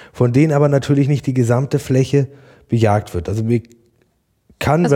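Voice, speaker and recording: Somewhat breathy, a man speaks at a very fast pace. His medium-pitched voice has a dark, mellow tone. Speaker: farmer and hunter. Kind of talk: podcast interview. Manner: passionate.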